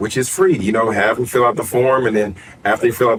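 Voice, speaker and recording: A man keeps up a fairly quick pace while noticeable background noise continues around him. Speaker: author, coach and podcast host. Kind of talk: podcast interview. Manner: halting.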